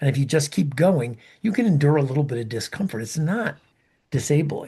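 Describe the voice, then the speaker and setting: Lively intonation rises and falls at a fairly quick pace in a somewhat breathy voice with a dark, mellow tone. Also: man, fairly high pitch for a man. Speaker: podcast co-host, ultrarunner. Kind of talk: casual chat.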